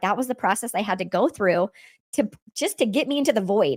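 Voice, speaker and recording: A woman talks at a very fast pace in an animated tone, with lively intonation and fairly high pitch. The recording is very clean with a silent background and a dry, close sound with no echo. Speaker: podcast host. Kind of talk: personal testimony. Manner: fast when excited.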